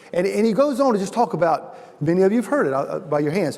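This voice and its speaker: A man's moderate-paced speech comes through with noticeable background noise behind it. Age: 60s. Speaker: chapel speaker. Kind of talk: sermon. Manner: halting.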